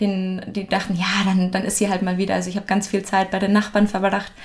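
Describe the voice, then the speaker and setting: A woman speaks at medium pitch in a monotone, flat intonation. Her voice is somewhat breathy. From Upper Bavaria, Germany. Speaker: podcast guest. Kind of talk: casual interview.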